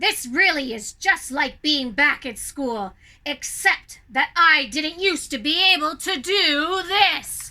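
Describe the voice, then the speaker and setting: A woman's put-on character voice, high-pitched with lively intonation, at a fairly slow pace with hardly any pauses. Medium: read story. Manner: smug, mocking.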